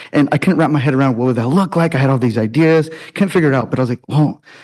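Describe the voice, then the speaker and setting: The tone is animated throughout. Words come at a very fast pace. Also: man. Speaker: teacher. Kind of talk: public comment at board meeting.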